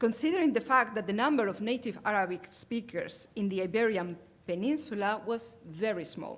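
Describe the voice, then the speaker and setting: A woman with a Spanish accent speaks at a moderate pace and fairly high pitch, with lively intonation. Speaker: academic conference presenter. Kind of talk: conference talk. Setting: conference hall with audience. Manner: hesitant, many filler sounds.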